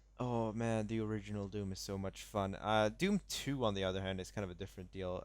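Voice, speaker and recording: On a very clean recording with a silent background, a man talks at a fairly quick pace. He has a fairly low pitch and an unremarkable speaking voice. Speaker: gaming podcast co-host. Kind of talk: casual chat.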